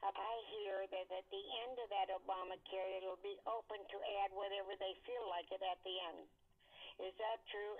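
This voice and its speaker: A woman's medium-pitched voice stays monotone and flat as she talks at a moderate pace. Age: 90s. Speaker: caller. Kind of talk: phone call question. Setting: phone call.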